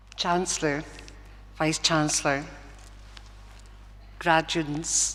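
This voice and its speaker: A woman speaks with a strong Glaswegian accent. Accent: Glaswegian Scottish, still strong. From Scotland, Govan in Glasgow. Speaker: honorary graduate. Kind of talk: graduation acceptance speech. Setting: concert hall with audience. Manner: halting, with fillers and restarts.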